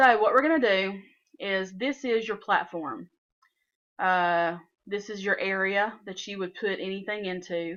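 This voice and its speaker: A woman at a medium pitch in a Southern US accent, fairly slow pace, ordinary pitch variation, big swings in loudness, and a quiet background. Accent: southern US twang. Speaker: software tutorial maker. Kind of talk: tutorial. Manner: casual, with frequent fillers.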